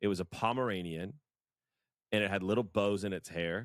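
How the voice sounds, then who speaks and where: With an animated tone, a man talks at a fairly slow pace in a very clean recording with a silent background. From USA. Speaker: podcast co-host. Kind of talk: casual chat.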